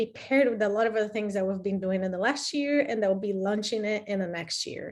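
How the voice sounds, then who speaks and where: A woman speaks with a Brazilian accent in a fairly high pitch. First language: Portuguese. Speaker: program director. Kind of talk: webinar presentation.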